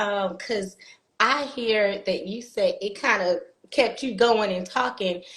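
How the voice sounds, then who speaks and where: Her pitch is fairly high, and this woman speaks at a fairly slow pace. Her pitch variation is ordinary. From South Carolina Lowcountry, Jasper County. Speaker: motivational speaker. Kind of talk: casual chat. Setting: video call.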